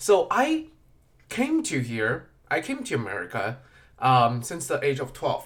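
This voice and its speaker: A man speaks at a fairly slow pace with a slight non-native accent. The recording is very clean, with a silent background. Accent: slight foreign. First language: not English. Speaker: podcast host. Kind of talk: casual monologue. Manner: halting.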